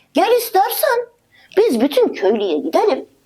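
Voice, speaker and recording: A woman performs a put-on character voice at a moderate pace, her pitch swinging very widely. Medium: read story.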